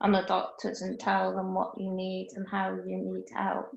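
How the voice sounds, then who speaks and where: A woman is speaking. Her pace is fairly slow. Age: 40s. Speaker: self-advocate panel member. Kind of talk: group discussion. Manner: halting.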